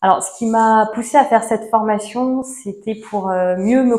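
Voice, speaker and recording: A woman's voice at a fairly slow pace, with fairly even intonation. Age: 30s. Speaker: seminar participant. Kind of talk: testimony. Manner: halting.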